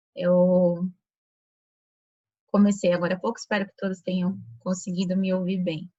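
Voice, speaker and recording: Soft-spoken and somewhat breathy, a woman talks at a moderate pace and medium pitch. Her intonation is monotone and flat. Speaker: lecturer at a Rosicrucian chapter. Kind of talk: lecture. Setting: video call.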